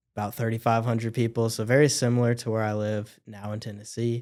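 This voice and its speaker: A man with a Midwestern US accent speaks at medium pitch in a monotone, flat intonation on a very clean recording with a silent background. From central Illinois. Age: 20s. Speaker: plumbing business owner. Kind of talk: casual chat.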